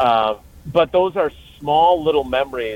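With an American accent and an ordinary speaking voice, a man talks at a fairly slow pace with fairly even intonation. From Wisconsin, Milwaukee area. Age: 50s. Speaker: sports reporter. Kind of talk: casual chat.

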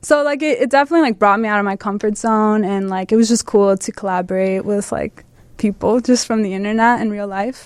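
Using a normal speaking voice, a woman with an American accent talks at a fairly quick pace with a fairly high pitch and ordinary pitch variation. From Chicago suburbs, US Midwest. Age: 20s. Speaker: photographer. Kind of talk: interview.

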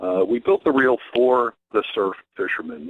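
A man's plain, everyday voice at a fairly slow pace with ordinary pitch variation. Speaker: fishing tackle executive. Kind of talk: radio interview.

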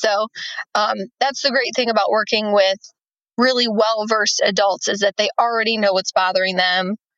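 A woman speaks in a normal speaking voice, fairly high in pitch, at a moderate pace with ordinary pitch variation, the sound dry and close with no echo. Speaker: vision rehabilitation specialist for veterans. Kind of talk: casual interview.

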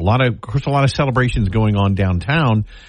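Very wide pitch swings run through a man's somewhat breathy voice. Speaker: radio host. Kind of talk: casual chat. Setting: studio.

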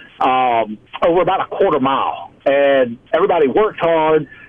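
Over noticeable background noise, a man with a Louisiana accent talks with ordinary pitch variation. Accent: Southern US (Louisiana). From South Louisiana. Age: 50s. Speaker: environmental business founder. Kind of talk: radio interview.

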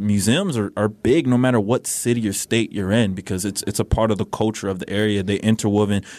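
Fairly low in pitch and fairly even in intonation, a man with an American accent talks at a very fast pace. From Milwaukee, Wisconsin. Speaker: reporter. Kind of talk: interview.

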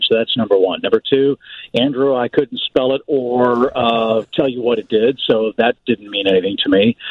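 A man with an American accent speaks at a moderate pace and medium pitch. It is an ordinary speaking voice with ordinary pitch variation. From US Midwest, St. Louis. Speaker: baseball broadcaster. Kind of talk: radio interview.

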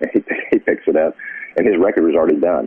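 Behind this man's speech, background noise is clearly noticeable. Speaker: songwriter and author. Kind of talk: casual interview chat. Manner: halting, repeats words.

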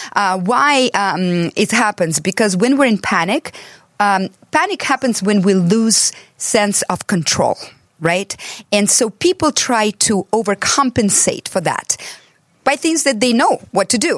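In a normal speaking voice, a woman with an American accent talks at a fairly slow pace, her pitch fairly high and her intonation lively. Her loudness stays very even, and the sound is dry and close with no echo. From abroad, came to the US as an adult. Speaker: transformational coach and author. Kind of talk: casual chat.

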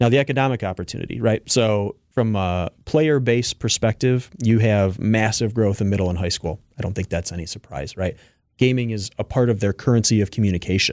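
Delivered at a fairly quick pace with hardly any pauses, a plain, everyday voice with ordinary pitch variation comes through with a dry, close sound and no echo. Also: man, fairly low pitch for a man. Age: 30s. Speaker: esports organization founder. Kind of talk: radio interview.

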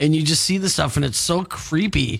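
A man's voice sits fairly high. His speaking speed is moderate. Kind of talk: radio DJ patter: weather, celebrity news, station promos. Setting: radio studio broadcast. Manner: upbeat, chatty and animated, laughing and reacting mid-story.

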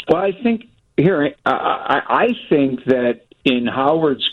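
Very wide swings in pitch from a man with a fairly high voice. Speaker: sports reporter. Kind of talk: casual chat. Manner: animated.

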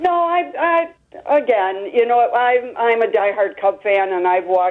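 A woman is speaking. Her intonation is lively. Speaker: caller. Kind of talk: call-in sports talk radio. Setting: phone call. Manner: halting.

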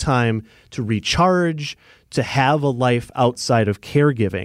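A man uses a normal speaking voice, medium in pitch and with ordinary pitch variation, on a very clean recording with a silent background. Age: 30s. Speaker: radio host. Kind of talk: interview. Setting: studio.

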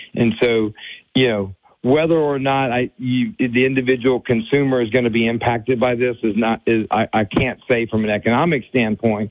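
At a moderate pace, a man talks with a medium pitch. His intonation is fairly even. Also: very even loudness. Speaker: oil and gas industry representative. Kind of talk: radio interview. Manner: hesitant, repeats words.

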